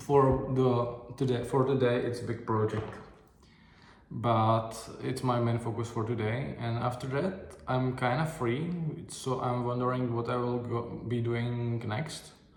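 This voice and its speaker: The speaker uses fairly even intonation at a fairly slow pace, with audible room echo and noticeable background noise. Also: man, medium pitch for a man. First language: not English. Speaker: video diary vlogger. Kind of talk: casual video diary monologue. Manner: halting, many fillers and restarts.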